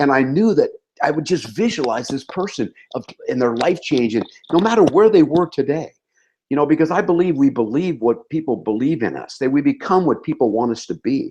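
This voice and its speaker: Fairly high-pitched yet dark and mellow in tone, a man talks at a fairly quick pace with lively intonation. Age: 60s. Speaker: network marketing leader. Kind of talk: motivational talk.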